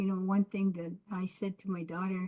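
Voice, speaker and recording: Her voice is medium in pitch, somewhat breathy and dark and mellow in tone, with monotone, flat intonation and a dry, close sound free of echo. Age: 70s. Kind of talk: panel discussion.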